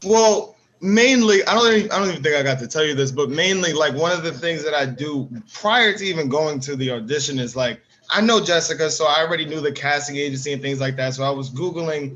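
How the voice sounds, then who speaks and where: Lively intonation and a very fast pace mark this voice in a New York accent. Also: man, fairly high pitch for a man. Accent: New York, Harlem. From New York, Harlem. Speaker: actor. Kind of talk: casual panel discussion.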